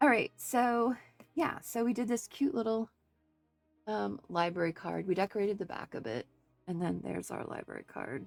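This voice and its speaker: Over music in the background, a woman speaks at a moderate pace, leaving long, frequent pauses. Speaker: craft video creator. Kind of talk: tutorial. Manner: casual, hesitant with fillers.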